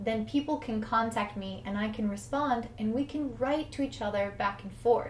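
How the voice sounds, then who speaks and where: A woman with an American accent, fairly high pitch and fairly even intonation, with room echo and music in the background. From United States. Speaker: English teacher. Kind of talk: tutorial.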